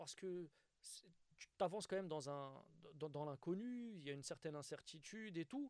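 At a moderate pace, a man with a fairly high pitch speaks, leaving long, frequent pauses. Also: lively intonation. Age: 30s. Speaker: stand-up comedian. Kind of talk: casual interview.

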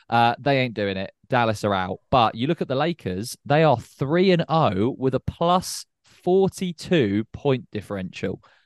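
With a British accent, a man talks at a fairly slow pace with hardly any pauses and very wide pitch swings, in a dry, close sound with no echo and a quiet background. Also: medium pitch for a man. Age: 20s. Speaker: podcast co-host. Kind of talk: casual chat.

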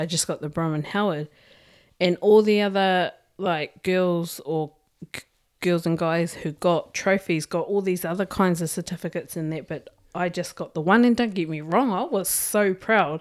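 With a New Zealand accent, a woman with a fairly low voice speaks at a moderate pace and ordinary pitch variation on a very clean recording with a silent background. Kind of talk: casual chat.

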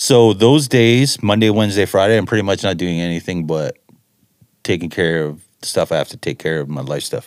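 An unremarkable speaking voice from a man with a Canadian accent, fairly low pitch, lively intonation and a fairly quick pace. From Ontario, Canada. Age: 40s. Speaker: music producer. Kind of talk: casual chat.

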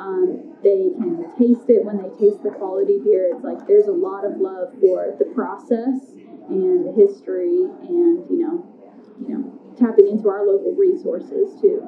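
Over noticeable background noise, a woman with a Southern US accent speaks at a high pitch and a moderate pace. Her pitch swings very widely, and her loudness varies greatly. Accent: US South. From northern Arkansas. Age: 30s. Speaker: brewery tour guide. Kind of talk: interview.

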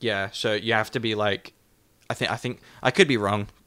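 In an Australian accent, a man with fairly low pitch and a bright, sharp tone speaks at a fairly quick pace on a very clean recording with a silent background. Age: 20s. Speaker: podcast co-host. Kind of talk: casual chat.

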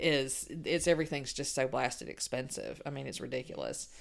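Speaking at a moderate pace with a Southern US accent, a woman is heard in a very clean recording with a silent background. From Mississippi. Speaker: podcast host, nurse. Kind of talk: podcast outro; casual interview chat.

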